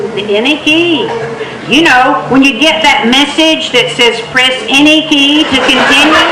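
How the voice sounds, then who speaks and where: A raised, projected woman's voice with an American accent, high in pitch with ordinary variation, very even in loudness, at a fairly slow pace over noticeable background noise. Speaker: storyteller. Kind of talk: tall-tale storytelling performance. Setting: live stage with microphone. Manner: humorous, conversational.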